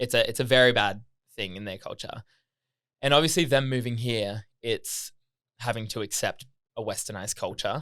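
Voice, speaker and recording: In a very clean recording with a silent background, a man of medium pitch speaks in a bright, sharp tone, with big swings in loudness and long, frequent pauses. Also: ordinary pitch variation, moderate pace. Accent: Australian. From Australia, Gold Coast. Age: 20s. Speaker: podcast guest. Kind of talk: casual chat. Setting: studio.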